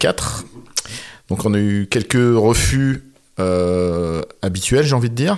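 A man's very slow delivery with lively intonation. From northern France, near Valenciennes. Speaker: film director. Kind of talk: interview. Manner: halting.

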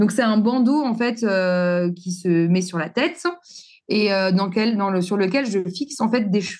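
The speaker has an unremarkable speaking voice with ordinary pitch variation. The pace is fairly slow. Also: woman, medium pitch for a woman. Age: 40s. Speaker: entrepreneur, former hairdresser and wigmaker. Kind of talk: interview.

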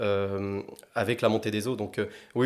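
A fairly low-pitched male voice with fairly even intonation, on a very clean recording against a silent background. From southwest France, Agen. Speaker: climate-energy consultant. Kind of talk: interview conversation. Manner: halting, many fillers and repetitions.

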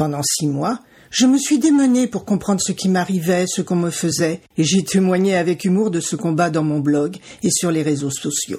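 A woman's dark, mellow tone comes with lively intonation. Her voice sits fairly low in pitch and is somewhat breathy. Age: 60s. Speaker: podcast host and cancer survivor. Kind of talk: personal testimony. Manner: slow.

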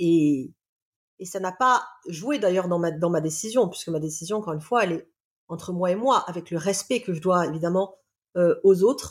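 Long, frequent pauses break up speech delivered at a moderate pace, with ordinary pitch variation. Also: woman, fairly low pitch for a woman. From Réunion island. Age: 40s. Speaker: love coach and therapist. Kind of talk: casual interview, personal testimony.

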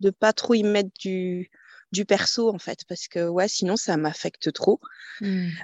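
Very slow speech with ordinary pitch variation, dry and close with no echo, against a quiet background. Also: woman. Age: 40s. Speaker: business owner. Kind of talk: interview. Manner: halting.

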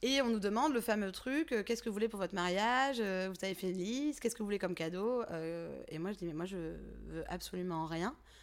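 Lively intonation at a fairly quick pace, on a very clean recording with a silent background. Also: woman, medium pitch for a woman. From Provence, southern France (Drôme provençale). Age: 30s. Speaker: entrepreneur. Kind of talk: interview. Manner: casual, hesitant with many fillers.

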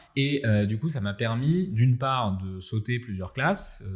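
A man with a fairly low pitch talks at a fairly slow pace, somewhat breathy, with ordinary pitch variation. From France, Nice. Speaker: AI entrepreneur and researcher. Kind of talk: interview conversation.

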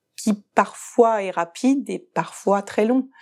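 The recording of this woman is very clean, the background silent. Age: 40s. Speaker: gynecologist-obstetrician, fertility doctor. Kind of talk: interview testimony. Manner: hesitant, with fillers and repetitions.

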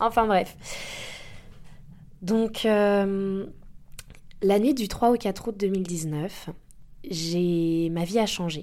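Speaking at a very slow pace with long, frequent pauses, a woman has a dark, mellow tone, a medium pitch and ordinary pitch variation. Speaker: life coach and podcast host. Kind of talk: personal testimony monologue. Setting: indoor home office. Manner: hesitant, many fillers.

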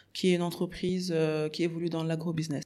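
A woman at a fairly low pitch, fairly quick pace and monotone, flat intonation. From Senegal, Dakar. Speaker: agribusiness entrepreneur. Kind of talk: interview. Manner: halting.

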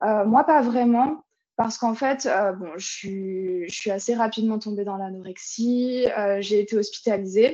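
Pitch varies in an ordinary way as the speaker proceeds at a fairly slow pace. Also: woman, fairly high pitch for a woman. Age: 20s. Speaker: online fitness coach. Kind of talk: casual chat. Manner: halting.

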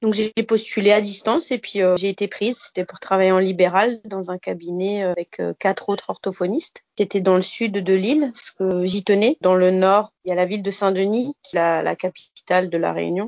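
With an ordinary speaking voice, a woman talks at a medium pitch and a moderate pace, using fairly even intonation and hardly any pauses. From Alsace, France (Bas-Rhin). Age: 30s. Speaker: speech therapist. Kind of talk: casual interview.

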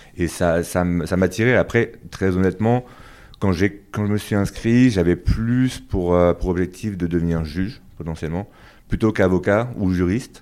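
In a very clean recording with a silent background, a man speaks at a very deep, low pitch. His pace is fairly slow and his pitch varies in an ordinary way. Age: 30s. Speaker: business lawyer. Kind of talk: interview. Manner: halting, many repetitions and fillers.

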